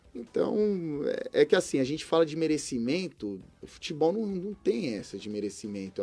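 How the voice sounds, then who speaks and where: At a moderate pace, a man with a fairly high pitch and a dark, mellow tone makes very wide pitch swings and big swings in loudness. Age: 30s. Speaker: former professional footballer; guest. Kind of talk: interview. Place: studio. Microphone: studio mic.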